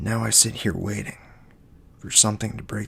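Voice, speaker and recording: Whispering at a fairly slow pace. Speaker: poet and ASMR creator. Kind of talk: poetry reading. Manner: soft-spoken.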